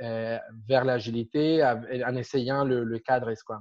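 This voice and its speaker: A man with a Spanish accent speaks very slowly at medium pitch, with fairly even intonation. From Argentina. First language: Spanish (speaking French). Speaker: agile coach. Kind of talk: interview. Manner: halting.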